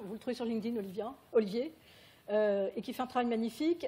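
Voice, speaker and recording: A woman's fairly high voice, dark and mellow in tone. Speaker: patient partner speaking at a medical conference. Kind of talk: conference talk. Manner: fast.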